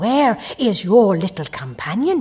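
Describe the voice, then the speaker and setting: A gruff, female-sounding put-on character voice, fairly high in pitch with very wide pitch swings, at a fairly slow pace. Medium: read story.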